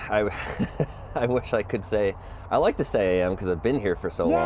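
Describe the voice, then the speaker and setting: A man with an American accent talks at a moderate pace, his intonation lively. He leaves long, frequent pauses, and there is noticeable background noise. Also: very even loudness. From Georgia, US (Atlanta suburbs). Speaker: podcast host. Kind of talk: podcast interview. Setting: outdoors in a backyard. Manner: halting, many fillers.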